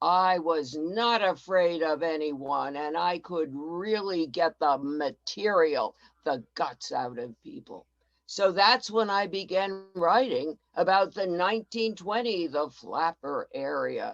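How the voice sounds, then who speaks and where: Using a put-on character voice, a woman speaks raspy and fairly low. Her pace is fairly slow. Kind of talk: first-person historical portrayal. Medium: solo performance. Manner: warm, chatty, enthusiastic.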